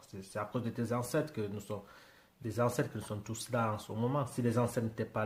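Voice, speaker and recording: Somewhat breathy, a man speaks in a medium pitch. His intonation stays fairly even. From Britain. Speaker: YouTuber reacting to music. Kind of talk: casual reaction commentary. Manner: halting, many hesitations.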